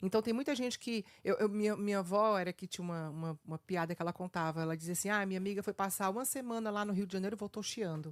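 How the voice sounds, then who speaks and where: A woman of medium pitch speaks at a very fast pace with ordinary pitch variation. The sound is dry and close, with no echo. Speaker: radio host. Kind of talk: radio interview.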